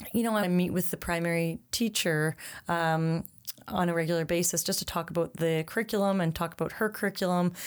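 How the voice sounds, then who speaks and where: A woman with a Canadian accent and a plain, everyday voice speaks at a fairly quick pace, fairly low in pitch. Her intonation is fairly even and her loudness very even, in a very clean recording with a silent background. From Ottawa, Canada. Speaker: preschool director and teacher. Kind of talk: casual interview.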